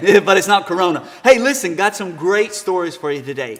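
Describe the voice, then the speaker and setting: Noticeable background noise sits under a man's high voice. He talks at a fairly quick pace with lively intonation. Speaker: good news segment guest. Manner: playful, animated.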